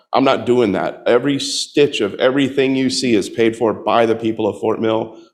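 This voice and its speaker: A slight Southern US accent at a moderate pace, with ordinary pitch variation over a quiet background. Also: man. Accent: slight Southern twang. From US South, Tampa, Florida. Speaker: political candidate. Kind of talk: campaign talk with audience Q&A.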